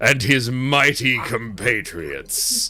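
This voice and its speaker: A man bellows in a booming, put-on character voice. He speaks at a very slow pace. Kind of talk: formal, archaic. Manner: booming, bellowing.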